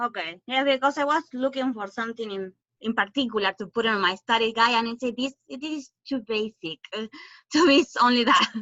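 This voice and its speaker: A woman's fairly high voice in a Spanish accent. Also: ordinary pitch variation, fairly quick pace. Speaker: student. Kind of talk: online class Q&A.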